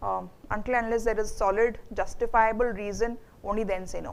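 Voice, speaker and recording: Delivered at a moderate pace in an Indian accent, the flat, monotone speech carries an audible room echo. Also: woman. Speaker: HR manager, guest speaker. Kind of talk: Q&A talk to students. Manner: hesitant, many fillers.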